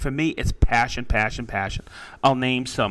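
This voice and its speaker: A man with an unremarkable speaking voice, medium pitch and moderate pace. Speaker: podcast co-host. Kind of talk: casual chat.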